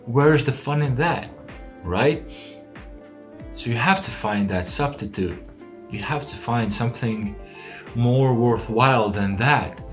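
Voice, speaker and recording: The speech moves at a fairly slow pace with long, frequent pauses and ordinary pitch variation. Music plays in the background. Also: man, medium pitch for a man. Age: young. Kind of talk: casual talk to camera.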